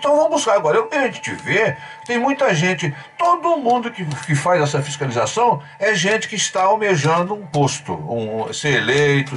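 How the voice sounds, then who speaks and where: Against noticeable background noise, a man with a high pitch speaks at a moderate pace, his pitch swinging very widely. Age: 60s. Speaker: journalist and writer, debate guest. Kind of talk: radio debate.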